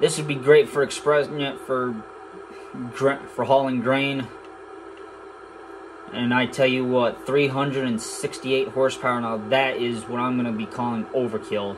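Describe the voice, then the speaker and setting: Music in the background behind a man's very slow, fairly even delivery, full of long, frequent pauses. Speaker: gamer. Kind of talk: casual gameplay commentary. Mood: relaxed, casual. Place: home room. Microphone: phone near.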